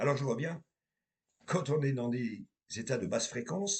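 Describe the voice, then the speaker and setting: With vocal fry and very wide pitch swings, a man talks at a fairly slow pace in a dry, close sound with no echo. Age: 50s. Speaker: medium and tarot reader. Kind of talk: spiritual monologue to viewers.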